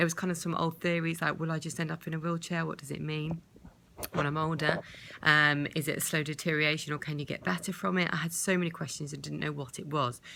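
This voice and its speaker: A woman with a British accent speaks at a very fast pace, her intonation fairly even. Her pitch is very deep and low, and her tone is bright and sharp. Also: very clean recording, silent background. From UK. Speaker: vlogger with multiple sclerosis. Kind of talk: personal video diary. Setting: hospital bed.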